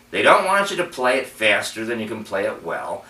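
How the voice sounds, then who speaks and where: A man's voice with very wide pitch swings at a fairly quick pace, with audible room echo and noticeable background noise. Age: 60s. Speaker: adult piano student. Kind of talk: personal video commentary. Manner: halting.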